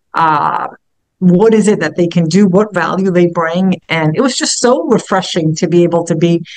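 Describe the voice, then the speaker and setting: A woman with a New York accent at a moderate pace, her intonation fairly even. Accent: New York area. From Hoboken, New Jersey, US. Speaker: business founder and CEO. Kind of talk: casual talk in a virtual meetup. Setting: video call. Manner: halting, many fillers and repeated words.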